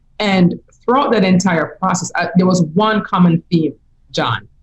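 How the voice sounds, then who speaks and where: In a Jamaican accent, a woman speaks at a moderate pace in a fairly low, somewhat breathy voice with ordinary pitch variation. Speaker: business coach. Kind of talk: interview. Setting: podcast.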